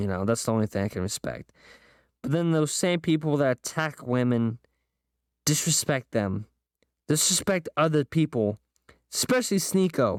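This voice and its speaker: A man's animated voice at a moderate pace, with very wide pitch swings and long, frequent pauses, on a very clean recording with a silent background. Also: fairly high pitch for a man, dry, close sound with no echo. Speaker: podcast host. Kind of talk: solo podcast rant.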